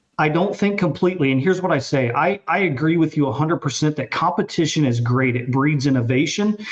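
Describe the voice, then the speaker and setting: This man talks at a very fast pace with hardly any pauses, fairly high pitch and ordinary pitch variation. His loudness stays very even over noticeable background noise. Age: 30s. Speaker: podcast panel guest. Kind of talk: casual chat.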